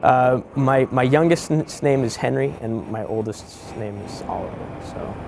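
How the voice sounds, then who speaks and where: A man with an American accent and medium pitch is heard over noticeable background noise. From US West Coast, San Francisco Bay Area. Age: 30s. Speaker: bridge engineer. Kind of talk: interview. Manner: halting, many repetitions and fillers.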